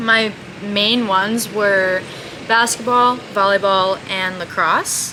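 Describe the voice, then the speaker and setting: A woman's monotone, flat intonation against noticeable background noise. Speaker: podcast co-host, college athlete. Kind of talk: casual chat.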